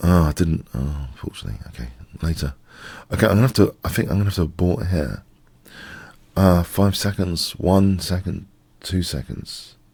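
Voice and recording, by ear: A man with a low pitch speaks at a moderate pace, his tone slightly mellow with a slightly husky edge. There is vocal fry, and his pitch varies in an ordinary way.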